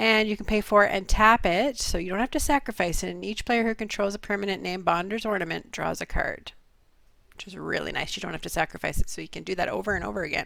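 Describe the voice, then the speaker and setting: A woman's medium-pitched voice with a bright, sharp tone and vocal fry, a very fast pace, ordinary pitch variation and big swings in loudness. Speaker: card game show co-host. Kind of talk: casual chat.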